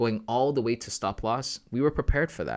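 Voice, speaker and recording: A man talks at a fairly quick pace with lively intonation, in an ordinary speaking voice. The recording is very clean with a silent background, and the sound is dry and close with no echo. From Canada, Ghanaian family. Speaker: forex trading livestreamer. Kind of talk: live trading stream.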